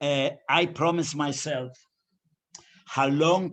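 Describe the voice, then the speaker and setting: A man's fairly high-pitched voice, monotone and flat in intonation, at a fairly slow pace. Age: 90s. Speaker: Holocaust survivor and musician. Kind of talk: interview.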